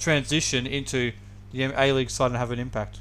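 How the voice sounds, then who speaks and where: With an Australian accent, a man speaks at a medium pitch in a flat, monotone way. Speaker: podcast co-host. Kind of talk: casual sports podcast chat.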